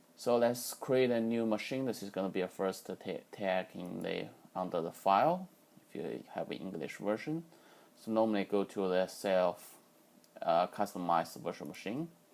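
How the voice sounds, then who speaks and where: This man's fairly low voice carries ordinary pitch variation and moves at a moderate pace. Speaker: software tutorial maker. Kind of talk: tutorial. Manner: halting.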